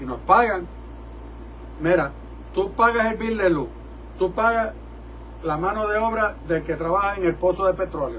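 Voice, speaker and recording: A man at a moderate pace with long, frequent pauses, in audible room echo. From New York City, Puerto Rican family. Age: 70s. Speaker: rabbi and preacher. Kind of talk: sermon. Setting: church service broadcast from studio. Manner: animated.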